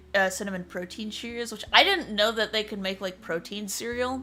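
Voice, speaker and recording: With music in the background, a woman speaks in an American accent. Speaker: livestreamer, podcast host. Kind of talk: casual chat. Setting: livestream.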